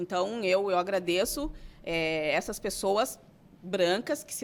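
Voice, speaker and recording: An animated woman's voice at medium pitch. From southern Brazil, Santana do Livramento. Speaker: writer. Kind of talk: interview. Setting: studio.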